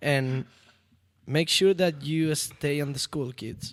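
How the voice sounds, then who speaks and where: A man with a Spanish accent, fairly high in pitch, at a very slow pace. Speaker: BMX rider and lawyer. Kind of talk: casual chat.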